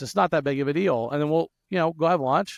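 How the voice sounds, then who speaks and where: Against a quiet background, a man with a Louisiana accent speaks at a fairly quick pace with ordinary pitch variation, the sound dry and close with no echo. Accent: Southern US (Louisiana). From South Louisiana. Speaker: software entrepreneur and podcast host. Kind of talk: podcast interview. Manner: fast, with frequent stutters and restarts.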